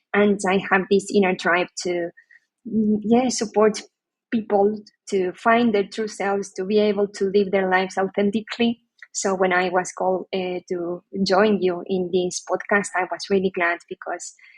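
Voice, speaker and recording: Speaking at a moderate pace in a Spanish accent, a woman with a medium pitch keeps a monotone, flat intonation, the sound dry and close with no echo. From Argentina. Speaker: HR leader and psychologist. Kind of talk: podcast interview.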